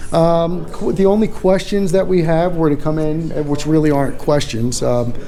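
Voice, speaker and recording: With an American accent, a man speaks at a moderate pace and fairly high pitch with ordinary pitch variation and hardly any pauses, amid audible room echo and noticeable background noise. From New York, Long Island. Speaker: first amendment auditor, photographer. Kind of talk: casual conversation.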